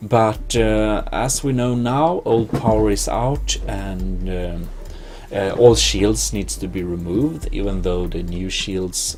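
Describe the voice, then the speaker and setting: Music plays in the background with audible room echo. A man with a Swedish accent speaks at a very slow pace. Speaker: gaming video host. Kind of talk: let's play commentary. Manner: halting, many fillers.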